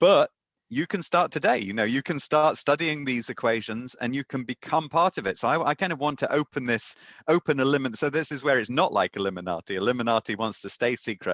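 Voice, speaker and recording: With a British accent and lively intonation, a man talks at a very fast pace in a dry, close sound with no echo. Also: medium pitch for a man, quiet background. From Britain. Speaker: mathematics professor and author. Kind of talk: podcast interview. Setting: remote interview from home.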